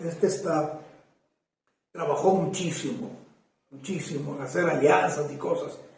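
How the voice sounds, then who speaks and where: Room echo can be heard around the voice. A man speaks fairly slowly. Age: 60s. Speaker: constitutional lawyer and former presidential precandidate. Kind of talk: interview. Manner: emphatic; hesitant fillers.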